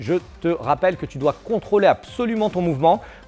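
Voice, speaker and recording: A man at a moderate pace over faint music in the background. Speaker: krav maga instructor. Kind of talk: tutorial. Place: gym.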